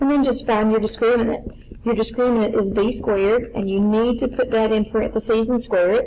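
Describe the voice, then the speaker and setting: With audible room echo, a woman speaks fairly quickly in a fairly high pitch, keeping a monotone, flat intonation and very even loudness. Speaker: math teacher. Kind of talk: lecture. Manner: fast.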